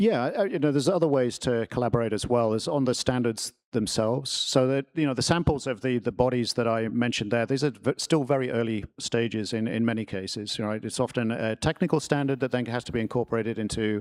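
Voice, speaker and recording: Very fast, with hardly any pauses, a man speaks in an English accent. His pitch varies in an ordinary way, and the sound is dry and close with no echo. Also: medium pitch for a man. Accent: proper English. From New Jersey, US. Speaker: tech company product executive, panelist. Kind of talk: panel discussion. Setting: stage with audience. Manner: authoritative; halting, many fillers.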